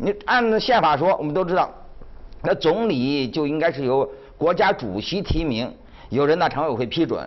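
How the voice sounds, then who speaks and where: A man with a fairly high pitch speaks at a moderate pace, his pitch swinging very widely. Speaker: magazine editor. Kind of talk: live TV panel discussion. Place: studio. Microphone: lapel.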